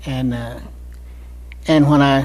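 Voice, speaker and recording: This man has an American accent. He talks very slowly. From Cincinnati, Ohio. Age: 70s. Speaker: war veteran. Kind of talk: oral history interview. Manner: halting, with many fillers.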